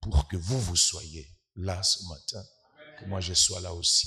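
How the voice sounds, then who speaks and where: This man has a very deep, low pitch and a bright, sharp tone. He talks at a very slow pace with fairly even intonation. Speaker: guest preacher, scientist. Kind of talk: sermon. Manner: hesitant, many filler sounds; soft-spoken.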